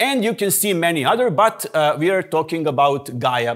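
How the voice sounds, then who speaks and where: With the background quiet, a man speaks at a moderate pace. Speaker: guest lecturer. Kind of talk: lecture. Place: classroom.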